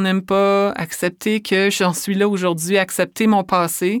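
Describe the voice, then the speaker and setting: A woman with a Quebec accent speaks in a flat monotone on a very clean recording with a silent background. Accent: Québécois French. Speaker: author and speaker. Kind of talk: interview.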